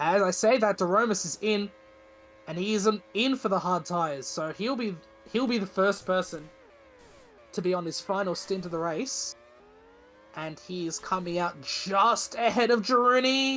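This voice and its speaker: Music plays in the background. The speaker keeps a moderate pace broken by long, frequent pauses. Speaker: sim racing league commentator. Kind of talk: live commentary. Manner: stuttering, self-correcting.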